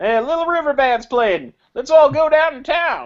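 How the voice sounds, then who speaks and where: A man puts on a character voice at an extremely high pitch, with a Southern US accent as part of the act. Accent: southern American. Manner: cheerful, friendly invitation.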